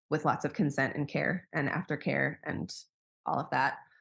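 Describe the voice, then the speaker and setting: In a very clean recording over a silent background, a woman speaks with vocal fry at a very deep, low pitch. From US Midwest (Wisconsin). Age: 30s. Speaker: coach and sex worker, former doula. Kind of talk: casual interview chat.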